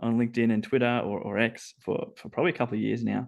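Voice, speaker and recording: A man speaks with an Australian accent over a quiet background. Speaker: robotics engineer. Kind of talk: interview podcast.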